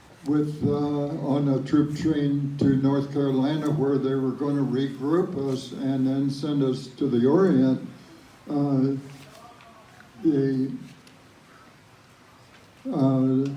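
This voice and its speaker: Speaking at a very slow pace with long, frequent pauses, a man holds a monotone, flat intonation. His pitch is fairly high, and noticeable background noise is present. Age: 80s+. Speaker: World War Two veteran. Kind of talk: interview answer.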